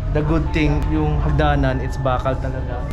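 A man at a fairly quick pace with clear music in the background. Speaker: urban explorer vlogger. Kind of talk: casual vlog chat. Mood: cautious, slightly spooked. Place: empty room. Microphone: phone near.

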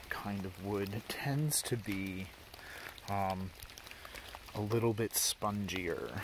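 Speaking at a very slow pace, a man with a fairly low pitch and ordinary pitch variation comes through dry with no echo, over noticeable background noise. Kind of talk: tutorial. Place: forest. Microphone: phone near.

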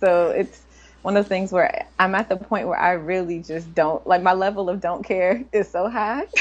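Her pitch medium and her intonation fairly even, a woman with an American accent talks at a moderate pace. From Washington, D.C. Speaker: computer science professor. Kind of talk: interview. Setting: remote call from a conference in New York. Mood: relaxed, smiling. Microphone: video call.

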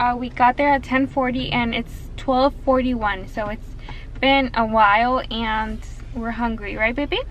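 Fairly slow, fairly even speech from a high-pitched woman, dry with no echo, over light background noise. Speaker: mother vlogger. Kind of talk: casual vlog chat. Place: car. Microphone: phone near.

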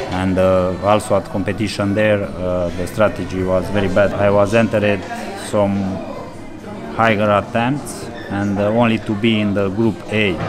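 Clear music plays in the background behind monotone, flat speech. The pace is moderate, broken by long, frequent pauses. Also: man. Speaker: interviewee. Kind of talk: interview answer. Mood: reflective, calm. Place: cafe.

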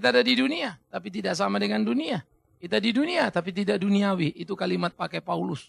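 The speaker talks at a very fast pace with very wide pitch swings. The sound is dry, with no echo. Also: man, high pitch for a man. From Indonesia. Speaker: pastor. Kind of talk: sermon. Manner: animated. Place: studio. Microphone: lapel.

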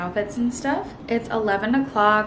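Noticeable background noise behind a woman's fairly slow delivery, her pitch varying in an ordinary way. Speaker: lifestyle vlogger. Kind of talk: casual vlog chat. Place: kitchen. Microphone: phone near.

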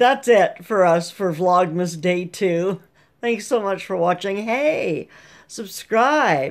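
A woman's voice with very wide pitch swings, at a very slow pace against a quiet background. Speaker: vlogger. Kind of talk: casual vlog chat. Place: home room. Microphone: webcam.

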